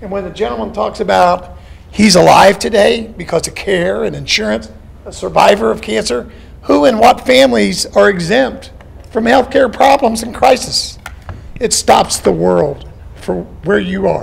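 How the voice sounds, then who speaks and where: A man talks at a moderate pace, his voice bouncing with audible room echo over noticeable background noise. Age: 60s. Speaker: town hall audience member. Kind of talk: public question at town hall.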